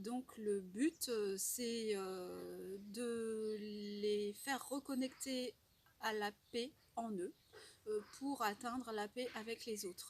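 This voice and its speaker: Ordinary pitch variation in a woman's fairly high, somewhat breathy voice. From Normandy, France. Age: 40s. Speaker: French teacher. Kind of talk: testimonial talk to camera. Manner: hesitant, many fillers.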